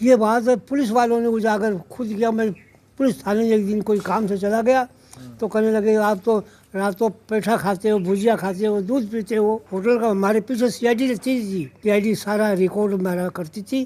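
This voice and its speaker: A man speaks at a high pitch in a dark, mellow tone. His intonation stays fairly even. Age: 80s+. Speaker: veteran local politician. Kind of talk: interview.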